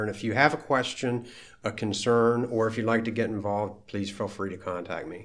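A man with an American accent speaks at a fairly quick pace in a fairly low voice for a man. His intonation stays fairly even, and some room echo can be heard. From Maryland, US (Frederick). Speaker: school board president. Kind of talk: interview.

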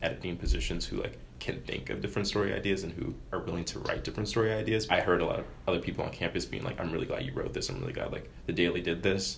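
In a room with audible echo, a man with an American accent talks at a very fast pace. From US, Maryland. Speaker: student newspaper editor. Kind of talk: interview. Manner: casual, filler-heavy.

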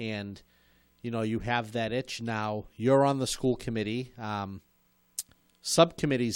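A man with an unremarkable speaking voice talks at a moderate pace and medium pitch, with ordinary pitch variation. The recording is very clean, with a silent background. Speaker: show host, former school committee member. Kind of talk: casual interview chat. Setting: studio.

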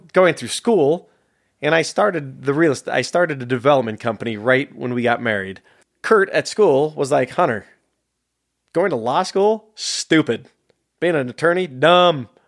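A man with an American accent talks at a moderate pace with lively intonation in an ordinary speaking voice, on a very clean recording with a silent background. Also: fairly high pitch for a man. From San Jose, California. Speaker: filmmaker. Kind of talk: casual interview conversation. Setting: studio.

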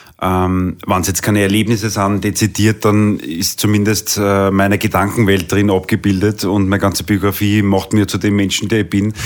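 With a Viennese accent, this man talks at a moderate pace in a fairly low pitch, his intonation flat and monotone, with hardly any pauses and very even loudness. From Vienna, Austria. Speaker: singer. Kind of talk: interview.

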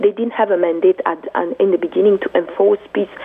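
A woman's passionate tone at a moderate pace, with noticeable background noise. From Congo. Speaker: women's rights activist. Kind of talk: radio interview. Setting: phone call.

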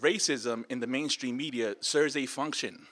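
A fairly high-pitched male voice with a bright, sharp tone at a moderate pace, in a very clean recording against a silent background. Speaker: media advocate. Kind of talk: panel talk. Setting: conference panel. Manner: halting, repeats words.

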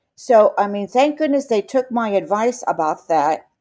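A woman with a New York accent, a dark, mellow tone, lively intonation and a fairly slow pace. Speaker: interviewee, teacher who lost students on 9/11. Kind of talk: interview testimony.

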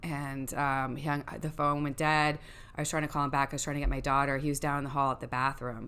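Loud and bright with a sharp tone, a woman with an American accent speaks at a very fast pace in a very deep, low pitch with monotone, flat intonation. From New York. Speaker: guest sharing parenting experience. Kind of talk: casual chat.

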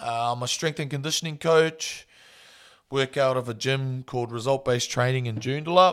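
Speaking with a New Zealand accent, a man keeps a moderate pace, a medium pitch and fairly even intonation. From New Zealand, small town. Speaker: strength and conditioning coach, podcast host. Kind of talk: solo podcast intro monologue. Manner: casual, relaxed.

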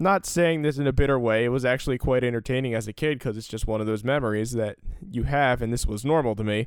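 A man with an American accent talks at a very fast pace. His pitch is medium, with ordinary variation. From US Northeast, Salem County, New Jersey. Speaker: podcast host. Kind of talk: solo storytelling podcast. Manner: casual, filler-heavy.

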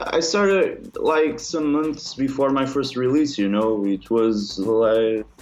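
A man with a Portuguese accent, medium pitch, lively intonation, a very slow pace with hardly any pauses, very even loudness, and noticeable background noise. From northern Portugal. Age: young. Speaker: techno producer. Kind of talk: interview.

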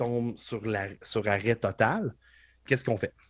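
Speaking fairly slowly at a medium pitch, a man is heard on a very clean recording with a silent background. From Quebec, Beauce. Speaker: professional wrestler. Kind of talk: casual interview chat.

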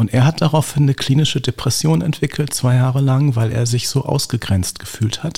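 A man at medium pitch talks fairly quickly, his pitch varying in an ordinary way, with noticeable background noise around him. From Berlin (Lichterfelde/Lankwitz). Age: 50s. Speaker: gerontologist. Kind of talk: interview.

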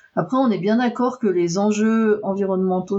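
The woman speaking shows ordinary pitch variation. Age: 50s. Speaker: computer science research engineer. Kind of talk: interview.

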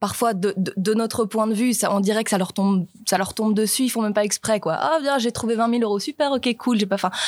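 A woman speaks in a plain, everyday voice at a fairly quick pace, with fairly high pitch, ordinary pitch variation, very even loudness and hardly any pauses. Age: 20s. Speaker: young stage actor. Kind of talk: panel discussion. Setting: live recording before an audience.

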